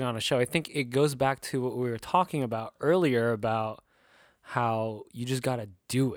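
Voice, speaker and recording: A man is speaking. He has a Californian accent. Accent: Californian American English. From Southern California. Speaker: podcast host. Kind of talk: casual chat.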